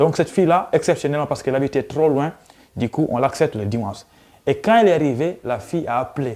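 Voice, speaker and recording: A very fast-talking man with a dark, mellow tone and lively intonation, in a very clean recording with a silent background. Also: fairly high pitch for a man. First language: Pulaar (Fula) (speaking French). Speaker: YouTuber, student. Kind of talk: casual vlog storytelling.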